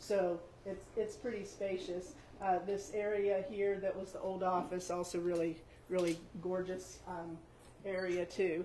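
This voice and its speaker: A woman with an American accent speaks fairly slowly in a monotone, flat intonation, with audible room echo and noticeable background noise. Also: medium pitch for a woman. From West Virginia, Eastern Panhandle (Grant County). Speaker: building owner and shop owner. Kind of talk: guided building tour. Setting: inside an old building, in-person tour group. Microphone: stopped using microphones after problems.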